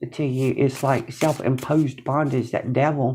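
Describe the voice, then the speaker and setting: A woman's dark, mellow tone at a moderate pace. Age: 60s. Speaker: tarot reader. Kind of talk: tarot reading to camera. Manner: casual, conversational.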